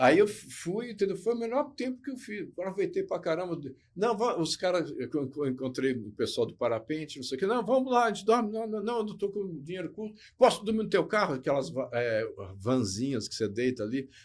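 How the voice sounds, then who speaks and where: A man with a high pitch talks at a fairly quick pace, his pitch swinging very widely. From Botucatu, São Paulo state, Brazil. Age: 60s. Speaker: former model and motivational speaker. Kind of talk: casual interview chat.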